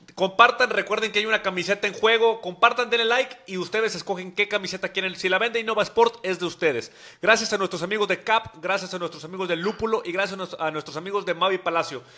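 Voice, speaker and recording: Over noticeable background noise, a man with a high pitch talks in a raised, projected voice at a very fast pace. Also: ordinary pitch variation. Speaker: football podcast host. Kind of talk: casual chat. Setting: studio.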